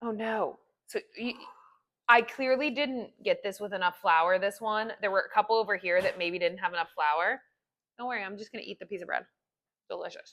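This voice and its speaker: Speaking at a fairly quick pace with long, frequent pauses, a woman uses an animated tone, a medium pitch, ordinary pitch variation and big swings in loudness. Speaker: home baking video creator. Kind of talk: casual cooking tutorial.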